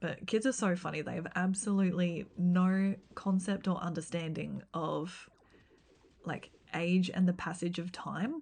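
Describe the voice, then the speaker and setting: A woman with an Australian accent, somewhat breathy, fairly slow and fairly even, against a quiet background. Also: medium pitch for a woman. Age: 30s. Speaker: gaming streamer and teacher. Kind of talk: casual live-stream chat. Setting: live stream.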